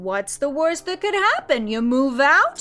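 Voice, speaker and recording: A woman's high-pitched, put-on character voice with very wide pitch swings, over music in the background. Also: moderate pace. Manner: matter-of-fact, gentle.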